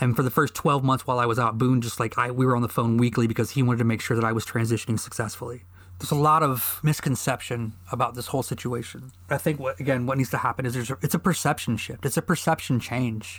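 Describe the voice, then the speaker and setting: A man talks very fast with an American accent. There are hardly any pauses. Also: medium pitch for a man, ordinary pitch variation. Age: 40s. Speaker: podcast host and army veteran. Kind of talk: personal monologue. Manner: halting.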